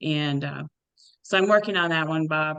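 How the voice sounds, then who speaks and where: Against a quiet background, a woman speaks loudly with a very deep, low pitch, a bright, sharp tone and fairly even intonation. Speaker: tennis official and webinar moderator. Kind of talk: Q&A moderation.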